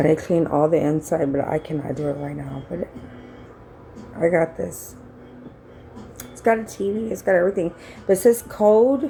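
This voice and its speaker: Against noticeable background noise, a woman speaks at a moderate pace with long, frequent pauses. Her fairly low pitch carries lively intonation and big swings in loudness. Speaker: vlogger. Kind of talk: casual vlog storytelling. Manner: animated, conversational.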